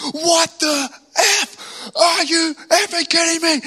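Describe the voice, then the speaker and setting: At an extremely high pitch, a man performs a put-on character voice. His pace is fairly slow. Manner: yelling, furious.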